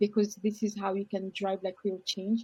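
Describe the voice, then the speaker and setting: A woman with a French accent, a dark, mellow tone, a somewhat breathy voice at medium pitch, monotone, flat intonation and a moderate pace. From France. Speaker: legal tech professional, former lawyer. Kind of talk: panel discussion.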